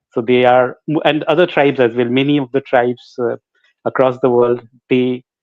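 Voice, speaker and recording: A man's flat, monotone speech with a Bengali accent. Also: medium pitch for a man, moderate pace. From India, Jharkhand (Ranchi). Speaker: singer. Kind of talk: interview. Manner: halting.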